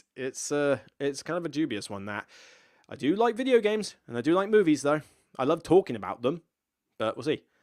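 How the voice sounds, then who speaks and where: Very wide swings in pitch from a man at a moderate pace, the recording very clean and the background silent. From Somerset, southwest England. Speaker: streamer reading chat questions. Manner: casual, hesitant with fillers.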